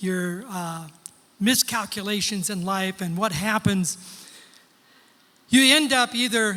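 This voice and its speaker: A man's high-pitched, raised and projected voice at a very slow pace. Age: 70s. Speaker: pastor. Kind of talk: sermon. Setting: church with congregation.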